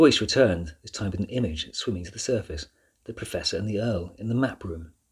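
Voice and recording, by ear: The words are read aloud in a natural voice.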